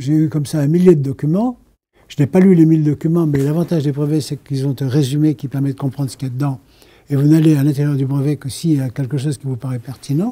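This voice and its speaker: Here a man speaks very fast, somewhat breathy, with a dark, mellow tone. His pitch is fairly high and his intonation fairly even. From France. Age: 80s. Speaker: inventor. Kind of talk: interview answer.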